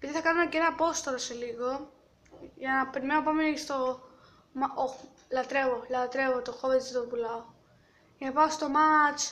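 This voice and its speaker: A woman with a high pitch speaks at a moderate pace, leaving long, frequent pauses. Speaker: gaming youtuber. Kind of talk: gameplay commentary.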